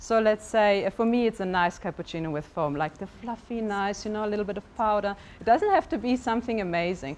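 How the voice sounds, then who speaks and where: A woman's fairly high voice in a German accent, very fast, with ordinary pitch variation. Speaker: life coach. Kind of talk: motivational talk. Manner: hesitant, with fillers.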